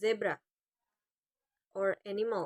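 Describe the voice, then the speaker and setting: Speaking at a very slow pace, a woman with an Indonesian accent has a fairly high pitch. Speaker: university student. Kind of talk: class presentation.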